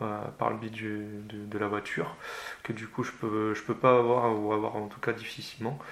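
A man's medium-pitched voice stays monotone and flat, moving at a fairly slow pace. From France, Loire (Forez plain). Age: 20s. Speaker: tandem para-cyclist. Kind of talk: interview, casual chat. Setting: at his home. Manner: halting, many repetitions and fillers.

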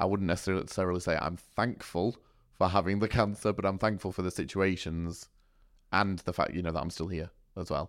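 A man with a Yorkshire accent, a very deep, low pitch, a very fast pace and fairly even intonation, in a very clean recording with a silent background. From Sheffield, South Yorkshire. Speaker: church youth worker. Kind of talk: podcast interview. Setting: studio.

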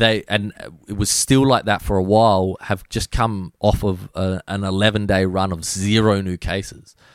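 Speech in an Australian accent runs at a moderate pace with monotone, flat intonation. The sound is dry and close with no echo. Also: man, fairly low pitch for a man. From Australia, Adelaide. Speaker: DJ and music producer. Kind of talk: casual chat. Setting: video call.

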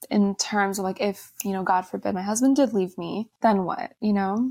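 A woman's normal speaking voice with an American accent, medium pitch, fairly even intonation and a moderate pace, in a very clean recording with a silent background. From US. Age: 20s. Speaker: influencer and entrepreneur. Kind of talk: casual interview.

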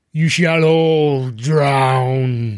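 The man puts on a character voice pitched in the medium range. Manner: eerie, ominous.

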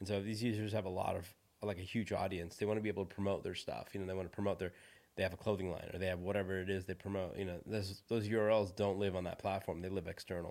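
Over a silent background in a very clean recording, a man talks very fast in a flat monotone. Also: fairly low pitch for a man. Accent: Californian. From US West Coast (San Francisco Bay Area), born in India. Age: 40s. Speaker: tech entrepreneur. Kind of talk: interview.

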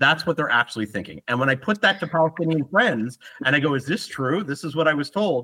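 A man's bright, sharp voice shows vocal fry and very wide pitch swings. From Canada, Ottawa. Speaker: YouTube interviewer and conflict resolution program manager. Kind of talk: interview conversation. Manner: hesitant, many fillers.

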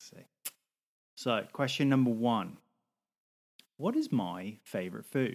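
This man has a British accent and a medium pitch. He talks fairly slowly, with big swings in loudness and long, frequent pauses. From UK. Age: 30s. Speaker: podcast co-host. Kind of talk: casual chat.

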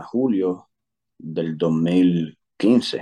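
A man's very deep, low voice, dark and mellow in tone, with ordinary pitch variation. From Puerto Rico. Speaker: army career counselor. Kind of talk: interview.

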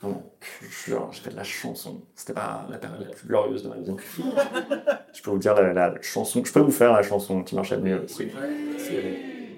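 A man at a fairly slow pace with big swings in loudness. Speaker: stand-up comedian. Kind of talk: stand-up comedy. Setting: bar with live audience.

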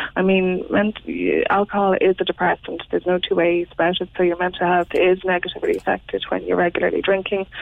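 A woman speaks very fast with an Irish accent, her loudness staying very even. Noticeable background noise runs under the recording. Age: 30s. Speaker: interviewee on sobriety. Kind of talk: radio interview.

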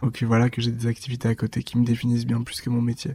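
A man at a very fast pace, medium in pitch, somewhat breathy, with a dark, mellow tone. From eastern France (Dijon, Haute-Marne countryside). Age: 20s. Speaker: magazine founder. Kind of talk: interview. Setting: at home.

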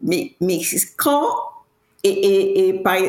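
A woman speaks at a very slow pace. Her medium-pitched voice carries lively intonation. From Cameroon. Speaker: tech entrepreneur. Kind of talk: podcast interview. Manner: halting, many restarts and fillers.

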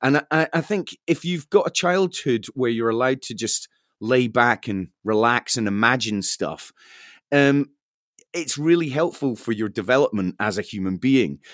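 In a Scottish accent, the speaker talks at a moderate pace with lively intonation, the sound dry and close with no echo on a very clean recording with a silent background. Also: man, medium pitch for a man. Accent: Scottish (Fife). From Scotland, Fife. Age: 40s. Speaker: radio broadcaster and musician. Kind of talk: interview, casual chat.

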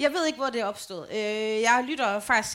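Talking at a very fast pace, a woman with a fairly high voice makes very wide pitch swings. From Denmark, Holme near Aarhus. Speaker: podcast co-host. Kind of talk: live show banter. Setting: stage with audience.

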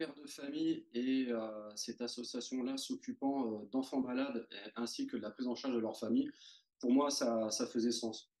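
Keeping a moderate pace, a man speaks at medium pitch with fairly even intonation. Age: 40s. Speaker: amateur mountaineer. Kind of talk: interview. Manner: hesitant.

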